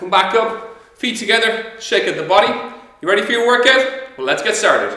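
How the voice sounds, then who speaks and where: Projecting a raised voice in a high pitch, a man talks at a fairly quick pace with ordinary pitch variation, with audible room echo and a quiet background. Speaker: fitness instructor. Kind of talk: workout instruction. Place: empty room.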